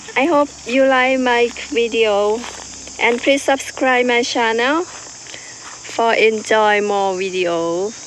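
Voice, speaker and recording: Over noticeable background noise, a woman talks very slowly at a fairly high pitch. Her loudness stays very even throughout. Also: ordinary pitch variation. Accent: Thai. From Thailand. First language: Thai. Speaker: farmer. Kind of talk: farm tour vlog. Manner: halting.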